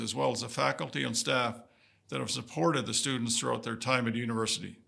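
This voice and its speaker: A man's bright, sharp voice with vocal fry, very fast and with very wide pitch swings. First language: Woodland Cree. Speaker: vice-regal dignitary. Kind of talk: ceremonial speech. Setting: convocation ceremony with audience. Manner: formal.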